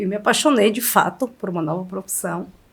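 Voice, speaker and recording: This woman's pitch swings very widely. Her pace is fairly quick. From Bahia backlands, Brazil. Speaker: chef. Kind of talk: interview.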